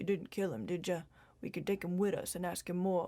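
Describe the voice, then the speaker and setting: In a very clean recording with a silent background, a female-sounding put-on character voice speaks at a middle pitch and a fairly quick pace. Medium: read story.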